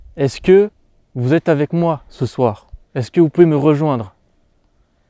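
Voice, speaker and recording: A man's fairly high voice, dark and mellow in tone, with ordinary pitch variation and a dry, close sound free of echo. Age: 20s. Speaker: paranormal investigator youtuber. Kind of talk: solo paranormal investigation vlog.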